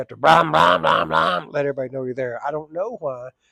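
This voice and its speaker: A man with an Oklahoma accent speaks at a very fast pace in a bright, sharp tone, with very wide pitch swings and a dry, close sound with no echo. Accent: southern US (Oklahoma). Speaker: firefighter and plumber vlogger. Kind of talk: casual storytelling vlog.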